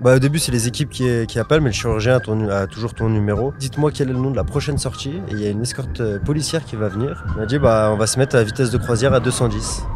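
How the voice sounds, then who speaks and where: With music in the background, the speaker goes at a very fast pace with ordinary pitch variation. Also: man. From southeastern France. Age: 20s. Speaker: courier. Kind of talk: interview. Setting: studio.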